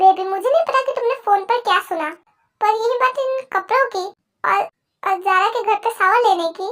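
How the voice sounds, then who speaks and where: This is a put-on character voice pitched extremely high. It moves at a fairly quick pace. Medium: read story. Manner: patient, earnest.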